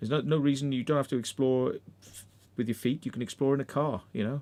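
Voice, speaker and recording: With an English accent, a man talks at a fairly quick pace. His medium-pitched voice has a dark, mellow tone and ordinary pitch variation. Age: 50s. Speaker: urban explorer and livestream host. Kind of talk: casual livestream chat.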